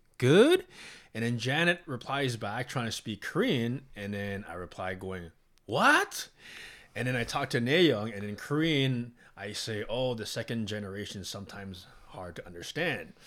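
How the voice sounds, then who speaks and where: A man with a Canadian accent and a plain, everyday voice talks at a moderate pace and medium pitch. His intonation is lively, his loudness swings widely, and the recording is very clean with a silent background. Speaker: podcast co-host. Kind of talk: casual chat.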